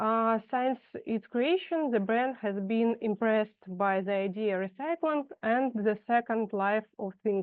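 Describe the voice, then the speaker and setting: A woman with a Russian accent speaks at a fairly slow pace, with hardly any pauses. Her pitch is fairly high, with ordinary variation. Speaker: fashion designer. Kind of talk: presentation read aloud. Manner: halting.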